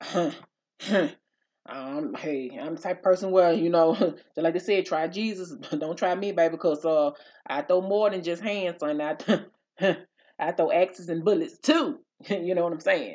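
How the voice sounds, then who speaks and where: At a moderate pace, a woman speaks fairly low in pitch, with ordinary pitch variation. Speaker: vlogger. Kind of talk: casual storytime vlog chat. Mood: animated, laughing, indignant. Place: home room. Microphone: studio mic.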